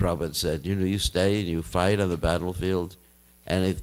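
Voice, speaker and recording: The voice has vocal fry. It is a very clean recording with a silent background. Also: man. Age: 70s. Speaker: Hare Krishna monk and spiritual teacher. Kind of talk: religious talk to devotees.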